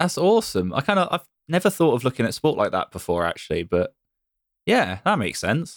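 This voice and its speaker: A man with a West Country accent talks at a very fast pace with very wide pitch swings. The sound is dry and close with no echo, on a very clean recording with a silent background. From England, Bristol. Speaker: podcast host. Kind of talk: casual chat.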